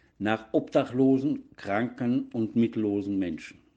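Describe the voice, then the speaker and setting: The man's dark, mellow voice moves at a fairly slow pace. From Baden-Württemberg (Donaueschingen), southwest Germany. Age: 60s. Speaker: former nurse, recovering alcoholic, formerly homeless. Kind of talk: interview testimony. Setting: studio.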